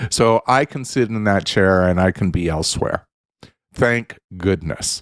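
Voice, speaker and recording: A man talks at a fairly slow pace with a fairly low pitch in a normal speaking voice. The sound is dry and close, with no echo. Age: 60s. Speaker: radio co-host. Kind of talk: casual chat.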